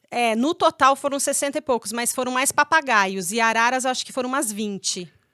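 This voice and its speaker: A woman talks fairly quickly in a high pitch, her pitch varying in an ordinary way. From Paraná, Brazil, raised partly in Pirassununga, São Paulo. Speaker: veterinarian. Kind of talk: interview.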